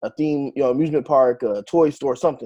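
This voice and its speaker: A man with an American accent talks at a fairly quick pace in a dark, mellow tone. His intonation stays fairly even, and the background is quiet. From New Jersey. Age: 30s. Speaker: author and genealogist. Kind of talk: interview. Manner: hesitant, many fillers.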